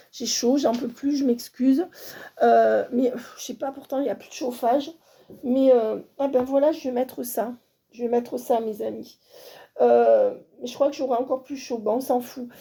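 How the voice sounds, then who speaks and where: A woman with a high, dark and mellow voice speaks at a fairly slow pace with fairly even intonation, long, frequent pauses and big swings in loudness. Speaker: medium, tarot reader. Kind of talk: channelled guidance reading to viewers.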